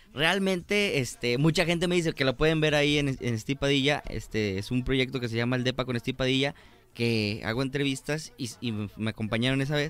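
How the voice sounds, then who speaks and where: At a fairly quick pace, a man talks in a medium pitch. His pitch varies in an ordinary way. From Mexico, Guadalajara, Jalisco. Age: 20s. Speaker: stand-up comedian. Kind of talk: casual chat. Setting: studio. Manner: animated.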